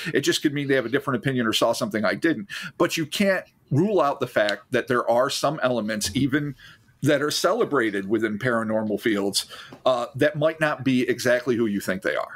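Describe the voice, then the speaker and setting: A man's normal speaking voice, medium in pitch, at a fairly quick pace with lively intonation. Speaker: podcast co-host. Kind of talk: casual chat.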